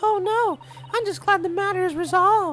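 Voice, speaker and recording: A squeaky, put-on character voice at an extremely high pitch and moderate pace, over clear background noise. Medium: game stream. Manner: polite, formal.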